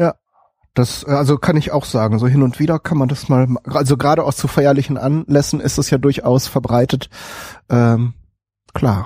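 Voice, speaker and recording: A man's fairly high, somewhat breathy voice with a dark, mellow tone, very even loudness, fairly even intonation, a moderate pace and long, frequent pauses. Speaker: podcast host. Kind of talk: casual chat. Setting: live stream with chat.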